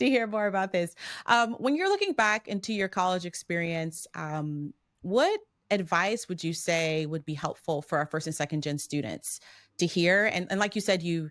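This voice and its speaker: On a very clean recording with a silent background, a woman with a normal speaking voice and fairly low pitch talks at a moderate pace with lively intonation. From Maryland. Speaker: podcast host. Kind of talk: interview.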